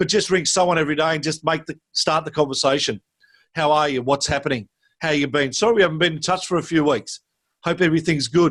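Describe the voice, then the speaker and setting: A man with an Australian accent speaks at a very fast pace in a fairly high pitch. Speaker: school sports director. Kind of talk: interview.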